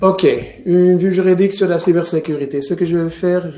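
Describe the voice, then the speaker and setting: A man with a Flemish accent talks at a moderate pace in a high pitch, with noticeable background noise behind him. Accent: Dutch-speaking (Flemish) accent in French. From Flanders, Belgium (Mechelen area). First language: Dutch (speaking French). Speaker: lawyer. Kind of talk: webinar lecture. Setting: online webinar, screen share. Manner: halting, with repetitions.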